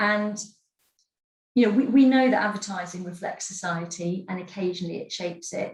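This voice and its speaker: A woman speaks in a somewhat breathy voice. Room echo is audible. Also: medium pitch for a woman, ordinary pitch variation, fairly quick pace. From Scotland, Edinburgh. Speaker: advertising industry executive. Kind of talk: webinar talk.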